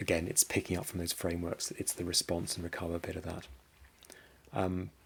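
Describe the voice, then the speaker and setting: A man with a British accent talks in a very deep, low pitch. His pace is fairly quick and his intonation monotone and flat. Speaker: cyber security business development head. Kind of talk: conference presentation. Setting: conference presentation. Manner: halting, many repetitions and fillers.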